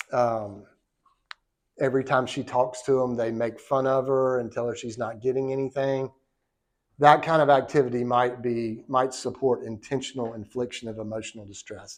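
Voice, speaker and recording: A Southern US accent at a moderate pace with fairly even intonation. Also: man. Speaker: law professor. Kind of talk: lecture. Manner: casual, conversational.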